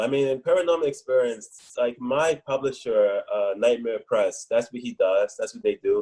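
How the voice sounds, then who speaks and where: This voice carries an American accent. It moves at a moderate pace. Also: man. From US South, New Orleans, Louisiana. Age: 40s. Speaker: horror writer. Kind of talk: interview. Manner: hesitant, many fillers.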